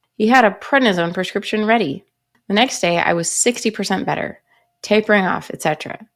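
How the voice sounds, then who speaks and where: With a plain, everyday voice, a woman talks at a medium pitch and a moderate pace. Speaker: pharmacist. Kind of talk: reading a viewer's written story aloud.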